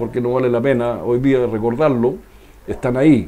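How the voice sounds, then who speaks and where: The speaker is a man. He talks at a moderate pace. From southern Chile, Los Ríos region. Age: 60s. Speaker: former local politician. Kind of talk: interview.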